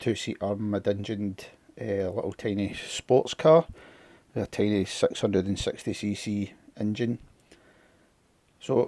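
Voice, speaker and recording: In a very clean recording with a silent background and a dry, close sound with no echo, a man with a Scottish accent speaks fairly slowly in a fairly low, dark, mellow voice, pausing long and often. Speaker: scale model builder. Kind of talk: casual model kit unboxing talk to camera.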